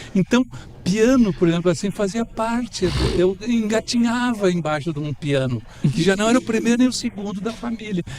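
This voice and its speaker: A man's pitch swings very widely as he keeps to a moderate pace. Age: 70s. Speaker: professor and architect. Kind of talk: radio interview.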